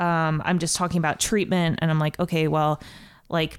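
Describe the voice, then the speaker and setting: This woman has an American accent. She talks with a very deep, low pitch. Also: very clean recording, silent background. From Ohio, US Midwest. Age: 20s. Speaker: comedian. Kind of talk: casual chat. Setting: studio.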